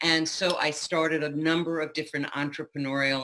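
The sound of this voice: A woman speaks at a moderate pace in a low pitch with a fairly bright tone.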